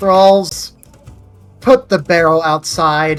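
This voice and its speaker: A put-on character voice at a middle pitch comes over faint music in the background. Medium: actual play. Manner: commanding.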